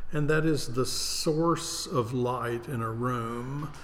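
A man of medium pitch speaks against noticeable background noise. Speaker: theater artistic director and podcast host. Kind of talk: casual interview chat.

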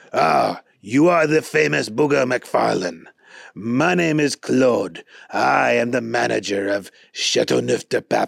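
A man with a French accent speaks in a raspy voice at a medium pitch and a fairly slow pace, with very even loudness and a dry, close sound with no echo. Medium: read story. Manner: courteous, amused.

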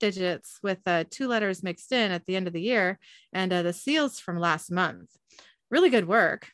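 The background is quiet. The speaker is reading aloud in a natural voice.

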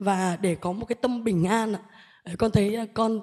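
Her tone dark and mellow, a woman talks at a fairly high pitch with ordinary pitch variation. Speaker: Buddhist lay follower. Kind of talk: personal question to a monk. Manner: halting, many fillers and repetitions.

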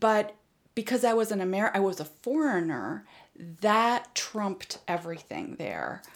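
A woman's voice with vocal fry, a fairly slow pace and lively intonation. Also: medium pitch for a woman. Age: 50s. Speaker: healing arts practitioner. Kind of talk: interview. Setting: kitchen table home recording.

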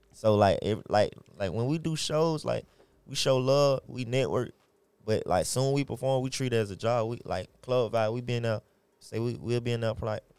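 The sound is dry and close, with no echo. A man talks at a moderate pace with ordinary pitch variation. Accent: American. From Atlanta, Georgia. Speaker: rapper. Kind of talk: casual interview.

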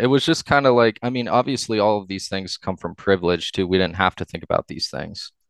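A man talks at a fairly quick pace with ordinary pitch variation. The background is quiet, and the sound is dry and close with no echo. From Ohio, US (Upper Arlington, Columbus area). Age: 30s. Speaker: DJ and event curator. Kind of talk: casual chat.

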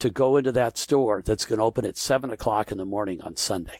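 Using a plain, everyday voice, a man speaks at a moderate pace with lively intonation in a dry, close sound with no echo. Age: 60s. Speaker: entrepreneur. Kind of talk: interview storytelling.

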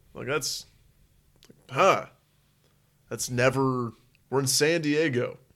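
Pausing long and often, a man with an American accent speaks at a very slow pace in a fairly high pitch, his intonation fairly even. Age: 20s. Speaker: podcast co-host. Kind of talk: casual chat.

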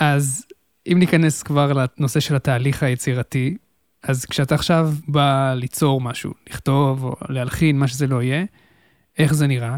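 Captured in a very clean recording with a silent background and a dry, close sound with no echo, a man at medium pitch speaks at a moderate pace with fairly even intonation. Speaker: podcast host. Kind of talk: interview. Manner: formal host voice.

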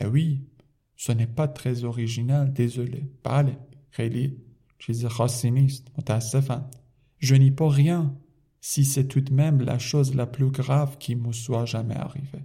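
His tone is dark and mellow, and somewhat breathy. The man speaks with monotone, flat intonation. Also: medium pitch for a man, moderate pace. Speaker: French language teacher. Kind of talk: reading aloud with translation.

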